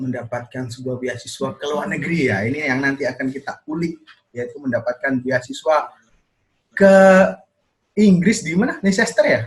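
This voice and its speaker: With a Javanese accent, a man speaks at a moderate pace in a fairly high, somewhat breathy voice with lively intonation. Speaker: video podcast host. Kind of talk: casual chat.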